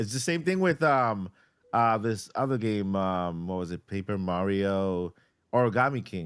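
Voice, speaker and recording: A man's voice with a Boston accent, on a very clean recording with a silent background. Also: fairly low pitch for a man, ordinary pitch variation, fairly slow pace. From Boston, Massachusetts, then Puerto Rico. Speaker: YouTuber, podcast co-host. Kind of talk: casual chat. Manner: halting, with repetitions.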